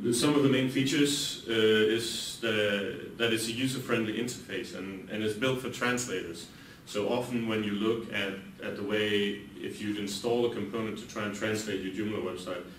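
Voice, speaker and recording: Amid noticeable background noise and audible room echo, a man with a Danish accent speaks in a fairly low pitch with fairly even intonation. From Denmark. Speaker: software company CEO. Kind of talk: conference talk. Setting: conference room with audience. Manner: hesitant, many fillers; fast.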